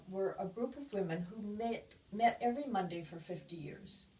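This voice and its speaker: Somewhat breathy and dark, mellow in tone, a woman of medium pitch speaks at a fairly slow pace with lively intonation. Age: 80s+. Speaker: public speaker on aging. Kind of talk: interview talk.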